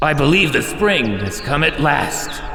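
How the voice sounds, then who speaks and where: A man puts on a gruff character voice at a fairly high pitch, talking at a moderate pace. Clear background noise and a slight echo fill the recording. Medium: read story.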